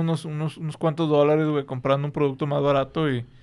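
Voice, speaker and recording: This man speaks at a fairly quick pace with fairly even intonation. The background is quiet. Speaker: podcast host. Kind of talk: casual chat. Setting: studio.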